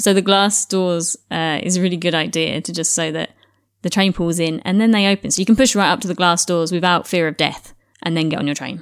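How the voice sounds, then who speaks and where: Fairly even intonation marks a woman's fairly quick delivery. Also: fairly low pitch for a woman. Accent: British. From England. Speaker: podcast co-host. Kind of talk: casual chat. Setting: remote call.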